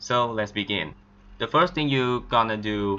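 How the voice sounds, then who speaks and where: The speaker has a non-native accent and talks at a fairly slow pace with ordinary pitch variation. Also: man. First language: not English. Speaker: game modding tutorial maker. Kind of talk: screen-recorded tutorial.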